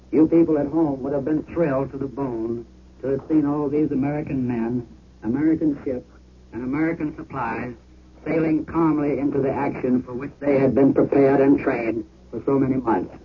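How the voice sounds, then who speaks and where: At a fairly quick pace, a man with an unremarkable speaking voice talks at a fairly high pitch with fairly even intonation. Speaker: war correspondent. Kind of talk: eyewitness report.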